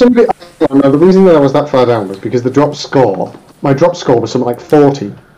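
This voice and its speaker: Lively in intonation and fairly quick in pace, a man speaks over noticeable background noise. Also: fairly high pitch for a man. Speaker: sim racing driver. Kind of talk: casual chat.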